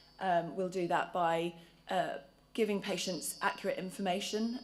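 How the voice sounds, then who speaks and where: Fairly low-pitched female voice at a moderate pace, with ordinary pitch variation and audible room echo. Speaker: charity patient involvement lead. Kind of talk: conference talk. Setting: conference stage with audience. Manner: hesitant, many fillers.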